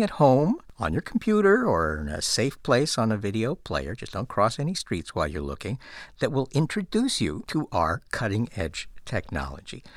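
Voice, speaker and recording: A man's voice with vocal fry swings very widely in pitch, heard in a very clean recording with a silent background. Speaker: podcast producer and host. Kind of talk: casual podcast intro and chat. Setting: studio. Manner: humorous, animated, self-deprecating.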